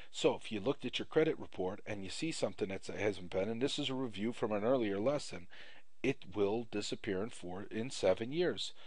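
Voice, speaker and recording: Here is a plain, everyday voice, a man at medium pitch. He goes at a moderate pace with ordinary pitch variation. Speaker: credit repair instructor. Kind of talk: tutorial.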